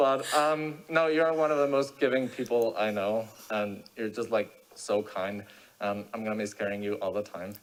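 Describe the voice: Here a man talks at a moderate pace. His pitch is fairly low and his intonation fairly even.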